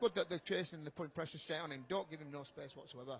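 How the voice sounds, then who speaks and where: With a strong Yorkshire accent and an animated tone, a man speaks with ordinary pitch variation over noticeable background noise. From Yorkshire, northern England. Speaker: rugby league co-commentator, former player. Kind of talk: live co-commentary. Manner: fast, talks nonstop.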